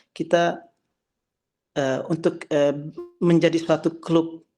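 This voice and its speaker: Monotone, flat speech from a man at a fairly high pitch and moderate pace, with a dark, mellow tone. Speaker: calligrapher and religious teacher. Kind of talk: memorial talk to online gathering. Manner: halting, many fillers and false starts.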